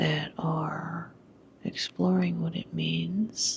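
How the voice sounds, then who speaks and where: Someone whispers at a very slow pace. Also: woman. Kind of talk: whispered personal vlog talk to camera. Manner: whispered.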